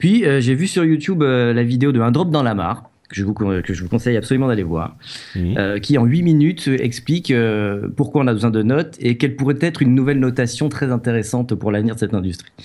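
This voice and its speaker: This man has a plain, everyday voice at a medium pitch and talks at a fairly quick pace. The recording is very clean, with a silent background. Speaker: video game journalist and author. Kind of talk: casual chat. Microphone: new microphone.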